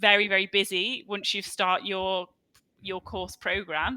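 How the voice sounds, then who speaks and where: A bright, sharp tone with a Scouse accent. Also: woman. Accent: Scouse (Liverpool English). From Liverpool, England. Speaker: online English tutor. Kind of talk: casual chat.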